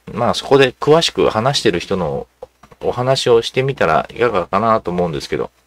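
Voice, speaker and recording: Dry and close with no echo, a man's medium-pitched voice moves at a fairly quick pace with lively intonation. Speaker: video channel host. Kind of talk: casual monologue on politics. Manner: rambling, filler-heavy, casual; self-described uninformed.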